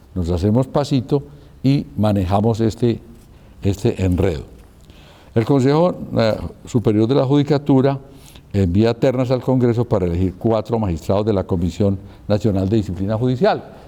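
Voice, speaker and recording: Using a dark, mellow tone at medium pitch, a man speaks at a moderate pace with lively intonation, very even loudness and long, frequent pauses. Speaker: speaker on law and politics. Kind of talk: lecture. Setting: live talk with audience, recorded.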